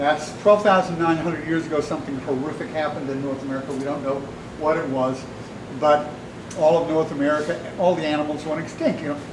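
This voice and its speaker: Talking at a very fast pace with fairly even intonation, a man with a fairly high voice is heard amid noticeable background noise and audible room echo. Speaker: artist giving a talk. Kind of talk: public talk to an audience. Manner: loud; passionate.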